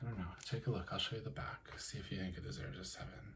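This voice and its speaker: A soft-spoken man talks in a fairly low, relaxed voice with very wide pitch swings. Noticeable background noise sits behind him. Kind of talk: soft-spoken ASMR talk to camera about card collecting. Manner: soft-spoken, relaxed.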